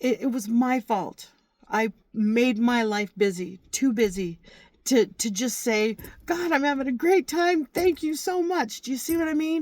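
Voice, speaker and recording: Her pitch is high, with very wide swings. The woman speaks at a fairly slow pace. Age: 60s. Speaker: religious vlogger. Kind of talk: faith testimony monologue. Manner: halting, repetitive.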